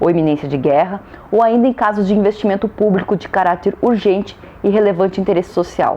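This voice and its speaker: A woman speaks with a rural Brazilian accent over noticeable background noise. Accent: Brazilian countryside. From Brazil, countryside (interior). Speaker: law lecturer. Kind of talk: lecture.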